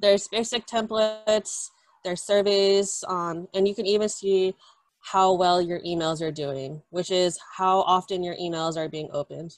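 In a quiet background with a dry sound and no echo, a woman speaks at a moderate pace with fairly even intonation. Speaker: presenter. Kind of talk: tutorial presentation. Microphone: video call.

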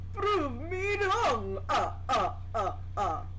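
Someone uses a put-on character voice over noticeable background noise. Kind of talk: character performance. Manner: theatrical, taunting, cackling.

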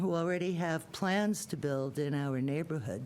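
A woman talks at a moderate pace. Her voice is very deep and low. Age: 60s. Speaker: resident speaking at public hearing. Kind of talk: public comment. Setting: public meeting. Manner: halting.

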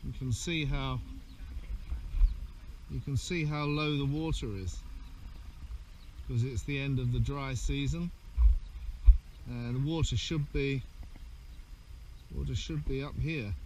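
Light background noise sits behind a man talking at a fairly slow pace. He takes long, frequent pauses. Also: dry sound with no echo. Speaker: vlogger. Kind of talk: casual vlog chat. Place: waterside. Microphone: phone near.

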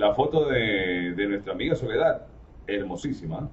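A man's fairly low-pitched voice with lively intonation and audible room echo. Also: moderate pace.

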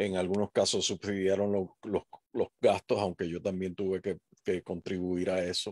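Monotone, flat intonation in a dry sound with no echo and a quiet background. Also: man, very deep, low pitch for a man, moderate pace. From Puerto Rico. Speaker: history professor. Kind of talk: panel discussion. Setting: video call. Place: home room. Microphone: headset.

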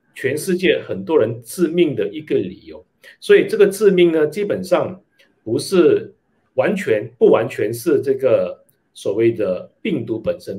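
A man is speaking. His pace is moderate. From Malaysia. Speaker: businessman and feng shui forecaster. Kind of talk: interview. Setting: video call. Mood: serious, earnest. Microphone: webcam.

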